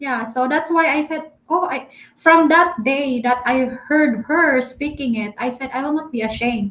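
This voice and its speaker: In a Filipino accent, a woman talks at a high pitch with ordinary pitch variation. Her pace is moderate, with hardly any pauses. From Philippines. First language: Filipino dialect. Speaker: travel vlogger. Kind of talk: live stream chat. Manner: halting, many fillers; talkative.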